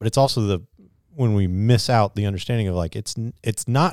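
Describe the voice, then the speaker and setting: In a plain, everyday voice, a man speaks at a fairly low pitch with ordinary variation, the recording very clean with a silent background and a dry, close sound with no echo. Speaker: pastor. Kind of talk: casual chat.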